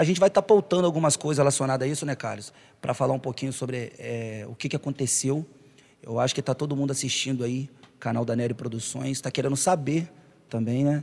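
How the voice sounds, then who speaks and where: In a very clean recording with a silent background, a man speaks at a very fast pace with a medium pitch and ordinary pitch variation. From Brazil, Itaperuna (Rio de Janeiro state). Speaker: podcast host and singer. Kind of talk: casual chat.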